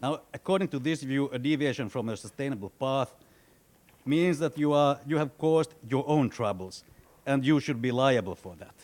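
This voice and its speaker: At a moderate pace, a man talks with a fairly high pitch and ordinary pitch variation. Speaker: central banker, panel commentator. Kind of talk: prepared commentary at book launch. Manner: loud; halting, many repetitions.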